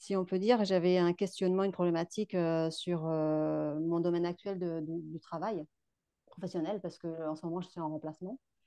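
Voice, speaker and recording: The woman's voice sits fairly low, with fairly even intonation. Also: moderate pace. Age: 30s. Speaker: course participant giving testimonial. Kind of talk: testimony. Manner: halting, many hesitations.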